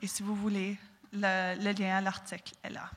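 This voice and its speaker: A woman speaks at a medium pitch. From southwestern Ontario, Canada. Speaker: university student speaker. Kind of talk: prepared talk. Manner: halting, with repetitions.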